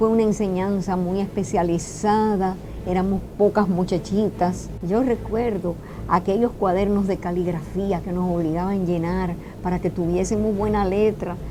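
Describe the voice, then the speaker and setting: A woman speaks at a medium pitch in a monotone, flat intonation. Noticeable noise sits in the background. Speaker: interviewee. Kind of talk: testimony.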